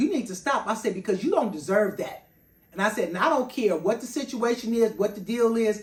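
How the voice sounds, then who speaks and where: In a fairly high pitch, a woman speaks in an animated tone that sounds somewhat breathy. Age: 60s. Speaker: personal chef and vlogger. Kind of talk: personal monologue vlog.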